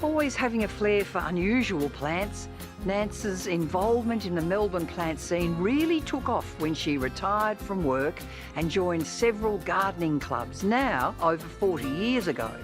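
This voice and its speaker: Music plays in the background as a woman talks. Her medium pitch swings very widely. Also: moderate pace. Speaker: TV gardening presenter. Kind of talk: TV documentary narration.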